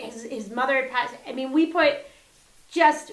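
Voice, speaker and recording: With an American accent, a woman uses a raised, projected voice that is high, bright and sharp, with an animated tone, ordinary pitch variation and a moderate pace. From US Northeast (northeastern New Jersey). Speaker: comedian and comedy producer. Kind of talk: casual interview chat. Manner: chatty, animated.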